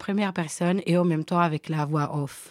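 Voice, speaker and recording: In a normal speaking voice, a woman with a fairly low pitch speaks at a moderate pace with fairly even intonation, the sound dry and close with no echo on a very clean recording with a silent background. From Switzerland, Guinean family. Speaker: storyteller. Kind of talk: casual chat.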